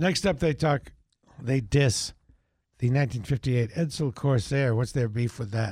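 A somewhat breathy man's voice at medium pitch with ordinary pitch variation, on a very clean recording with a silent background. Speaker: radio talk show host. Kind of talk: casual radio chat. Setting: radio studio. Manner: tends to mumble and speak quickly.

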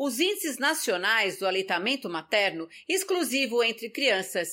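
A woman's raised, projected voice, bright and sharp in tone, with very wide pitch swings on a very clean recording with a silent background. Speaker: podcast host. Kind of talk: scripted health podcast talk.

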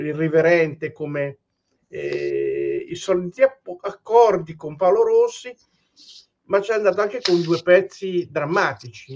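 A man is speaking. His pace is very slow. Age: 50s. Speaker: podcast host. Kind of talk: casual interview.

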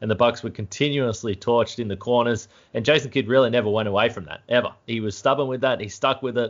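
A man with an Australian accent at a medium pitch, very fast pace and fairly even intonation. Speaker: sports podcast host. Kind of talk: casual sports chat. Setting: remote call.

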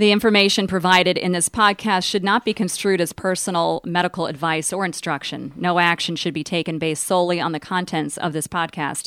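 At a fairly quick pace with hardly any pauses, a woman speaks in an ordinary speaking voice pitched fairly low. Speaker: radio co-host. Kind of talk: radio talk show. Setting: radio studio.

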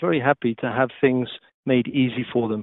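A man speaks at medium pitch with a Welsh accent. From Wales. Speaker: TV technology executive. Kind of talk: interview.

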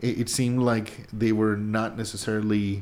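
A man speaks with a Spanish accent. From Mexico. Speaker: podcast co-host, works in video production. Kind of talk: political discussion podcast. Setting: studio downtown.

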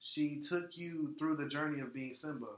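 Talking at a fairly quick pace, a man with a fairly high pitch speaks with an American accent. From Florida. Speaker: podcast co-host. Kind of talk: casual chat. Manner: animated.

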